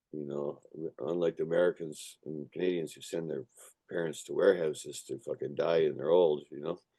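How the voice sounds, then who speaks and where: A man's very deep, low voice with vocal fry, fairly even intonation and a fairly quick pace, hardly any pauses, in a dry, close sound with no echo. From Canada, raised in an Irish family (came from Ireland at age one). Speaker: punk musician. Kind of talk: casual interview. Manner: casual, repetitive fillers and swearing.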